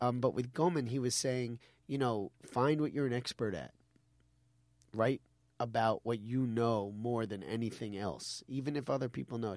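Heard on a very clean recording with a silent background is a plain, everyday voice. It moves at a moderate pace with ordinary pitch variation. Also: man, medium pitch for a man. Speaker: podcast host and comedian.

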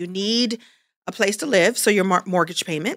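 In an American accent, a woman speaks at a medium pitch and moderate pace with an animated, bright, sharp tone, ordinary pitch variation, and a dry, close sound with no echo. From Brooklyn, New York. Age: 50s. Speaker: actress and comedian. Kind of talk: interview.

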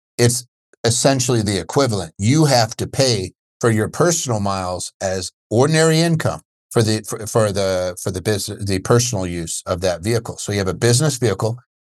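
Against a quiet background, a man with an American accent speaks at a fairly low pitch. His pace is fairly quick and his intonation lively. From Pennsylvania. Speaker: tax attorney podcast host. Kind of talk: casual educational livestream Q&A. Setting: video call webinar. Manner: animated, chatty.

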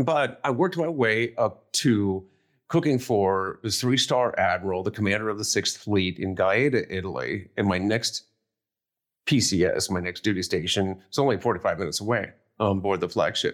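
Lively intonation and a moderate pace mark this American accent, heard in a very clean recording with a silent background. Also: man, fairly low pitch for a man. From US Midwest, northeast Ohio. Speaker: war veteran. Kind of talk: interview.

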